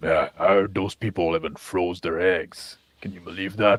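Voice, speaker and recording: In a put-on character voice, a man speaks very deep and low at a moderate pace with monotone, flat intonation and a dry, close sound with no echo. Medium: actual play. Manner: earnest, heroic.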